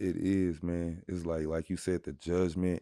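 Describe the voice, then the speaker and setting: A dark, mellow tone with an American accent, on a very clean recording with a silent background. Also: man. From Texas, Dallas area. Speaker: stand-up comedian. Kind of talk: casual chat. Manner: animated.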